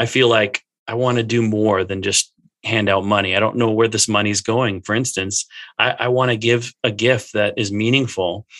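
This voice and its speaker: A man with an ordinary speaking voice, fairly low in pitch, with fairly even intonation at a moderate pace and a dry, close sound with no echo. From Minnesota, US. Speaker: church staff in youth ministry. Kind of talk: casual interview conversation.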